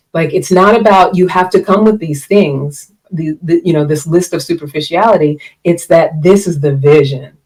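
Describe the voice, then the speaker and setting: With a plain, everyday voice, a woman speaks at a moderate pace and fairly low pitch, with ordinary pitch variation and hardly any pauses. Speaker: relationship coach and podcast host. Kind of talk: live-streamed solo talk. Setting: live stream.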